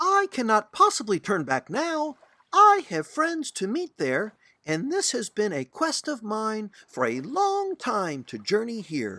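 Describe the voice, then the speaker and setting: A man puts on a character voice, raised and projected at a high pitch. He speaks at a fairly slow pace. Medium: read story. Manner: earnest, friendly.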